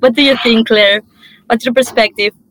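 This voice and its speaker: A woman speaks in an ordinary speaking voice, fairly high in pitch, with fairly even intonation. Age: young. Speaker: climate activist and panel moderator. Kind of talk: panel moderation.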